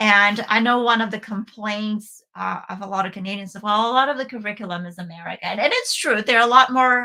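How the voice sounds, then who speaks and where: Speaking with a Bulgarian accent, a woman talks at a fairly quick pace with hardly any pauses. Her voice is fairly high with ordinary pitch variation, and her loudness swings widely. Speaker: homeschooling parent and co-host. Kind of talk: casual talk-show discussion. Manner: hesitant, many fillers and restarts.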